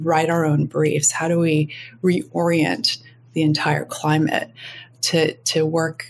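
In an American accent, a woman speaks at a very slow pace with a very deep, low pitch, vocal fry and monotone, flat intonation. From US Midwest, Minneapolis. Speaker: advertising agency executive. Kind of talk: interview.

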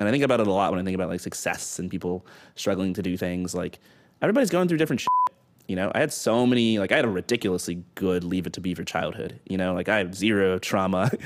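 In a very clean recording with a silent background, a man talks very fast in a very deep, low voice with ordinary pitch variation. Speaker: startup founder guest. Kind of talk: casual interview chat. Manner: fast talker.

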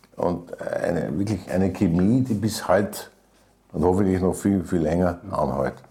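The man speaks at a fairly slow pace. His pitch is fairly low, with ordinary variation. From Vienna, Austria. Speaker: writer and lyricist. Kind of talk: interview. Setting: private kitchen.

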